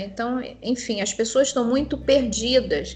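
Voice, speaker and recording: A normal speaking voice at a fairly slow pace. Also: woman. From Rio de Janeiro, Brazil. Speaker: nursing professor and theologian. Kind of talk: panel discussion.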